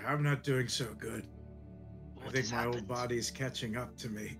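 Clear music plays behind a man doing a put-on character voice at a fairly quick pace. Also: medium pitch for a man. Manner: weak, frail.

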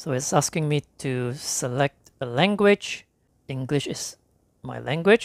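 A man talks at a fairly slow pace, the sound dry and close with no echo.

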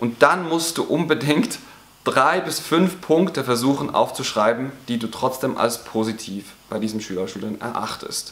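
Lively intonation marks a man talking at a moderate pace. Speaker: teacher coach. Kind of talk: advice talk to teachers. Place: classroom.

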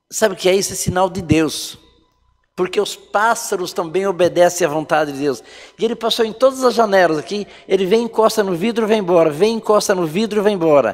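With faint music in the background, a man talks at a fairly quick pace in a high voice with ordinary pitch variation. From rural Brazil. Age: 60s. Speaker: pastor. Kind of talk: sermon. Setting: online church service. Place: church.

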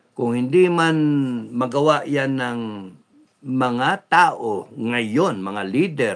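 The background stays quiet as a man talks with lively intonation. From Philippines. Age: old. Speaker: vlogger. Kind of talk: livestream monologue. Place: home room. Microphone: phone near.

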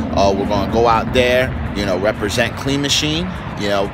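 A man at a fairly quick pace with ordinary pitch variation, in a dry sound with no echo, over noticeable background noise. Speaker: fitness coach vlogger. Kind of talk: casual vlog chat. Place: waterside. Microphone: phone near.

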